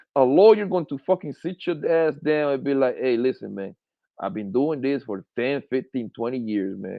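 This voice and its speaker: An animated male voice at medium pitch, with lively intonation and a moderate pace. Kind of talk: casual chat.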